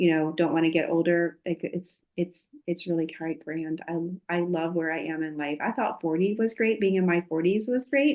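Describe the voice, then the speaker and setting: A woman with an unremarkable speaking voice talks at a moderate pace with hardly any pauses. Her fairly low pitch shows ordinary variation. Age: 50s. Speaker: podcast host, clinical herbalist and health coach. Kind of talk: casual chat.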